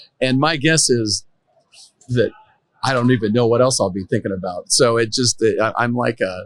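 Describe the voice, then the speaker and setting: He uses an ordinary speaking voice with ordinary pitch variation. The man's pitch is medium, and his pace is moderate. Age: 60s. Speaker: tech entrepreneur and storyteller. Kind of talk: casual interview chat. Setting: conference booth.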